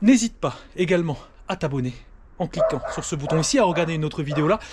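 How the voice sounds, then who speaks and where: Speaking fairly quickly with a northern French accent, a man uses a high pitch and lively intonation. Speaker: pest control expert. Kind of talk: casual vlog with on-site demonstration. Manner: casual, lively; hesitant with fillers.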